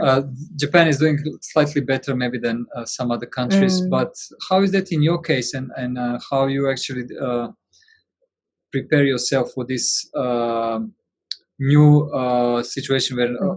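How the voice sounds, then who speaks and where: A normal speaking voice, fairly slow in pace and ordinary in pitch variation. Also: man, medium pitch for a man. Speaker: interviewer.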